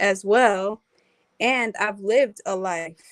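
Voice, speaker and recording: A woman is heard in a dry, close recording with no echo. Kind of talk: casual chat. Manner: soft-spoken.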